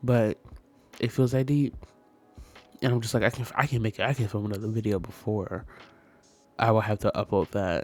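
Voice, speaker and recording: Music plays in the background as a man speaks at a medium pitch, the sound dry and close with no echo. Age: 20s. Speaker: sims builder and content creator. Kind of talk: casual gaming voiceover. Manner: chatty, rambling.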